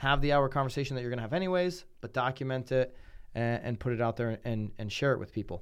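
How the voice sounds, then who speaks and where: A very fast Connecticut accent with ordinary pitch variation, on a very clean recording with a silent background. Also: man, medium pitch for a man. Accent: Connecticut, general American. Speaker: podcast and radio host. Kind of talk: casual chat.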